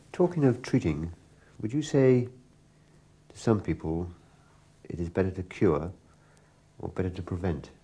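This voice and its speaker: A man with an English accent and a very deep, low pitch speaks somewhat breathily in a dark, mellow tone, with lively intonation, big swings in loudness and long, frequent pauses. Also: moderate pace. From England. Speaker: interviewer, pigeon fancier. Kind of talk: interview.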